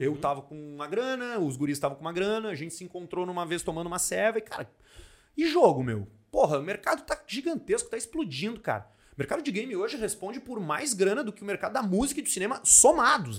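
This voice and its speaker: A man talks at a very fast pace in a high pitch. His voice has very wide pitch swings and big swings in loudness. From Porto Alegre, southern Brazil. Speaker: comedian and entrepreneur. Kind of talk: casual chat.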